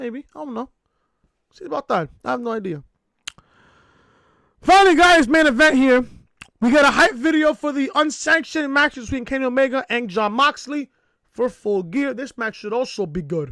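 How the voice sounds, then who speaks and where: A man with an extremely high pitch and a bright, sharp tone speaks in a raised, projected voice with an excited, energetic tone and lively intonation. Long, frequent pauses stand out in a very clean recording with a silent background. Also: moderate pace. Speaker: wrestling podcaster. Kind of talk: casual review talk to camera.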